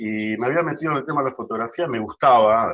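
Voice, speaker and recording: Moving at a fairly quick pace, a man with an ordinary speaking voice talks at a medium pitch with ordinary pitch variation. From Argentina, San Fernando (Buenos Aires area). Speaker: data and technology professional. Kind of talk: casual interview.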